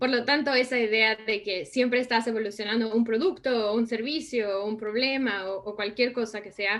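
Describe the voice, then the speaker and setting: A woman speaks with a Mexican accent. Her pitch is fairly high, with ordinary pitch variation. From Mexico. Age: 30s. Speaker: design and innovation consultant. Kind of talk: interview.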